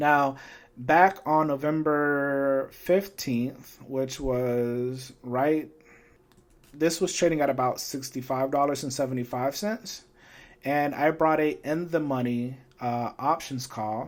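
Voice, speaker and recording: With ordinary pitch variation, a man speaks at a very slow pace in a fairly high-pitched voice. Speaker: finance YouTuber. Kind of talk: tutorial. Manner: casual, some filler words.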